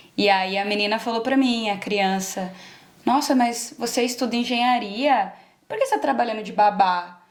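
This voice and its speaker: In a room with audible echo, a woman speaks at a moderate pace and a fairly high pitch, her intonation fairly even. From Brazil, interior of São Paulo state. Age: 20s. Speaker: engineer who emigrated. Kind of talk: interview.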